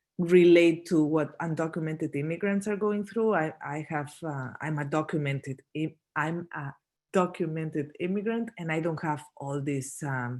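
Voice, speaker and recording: A woman with a Spanish accent speaks at a moderate pace with a very deep, low pitch, ordinary pitch variation, and hardly any pauses against a quiet background. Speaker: documentary photographer. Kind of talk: Q&A at a photo talk. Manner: halting, many fillers and restarts.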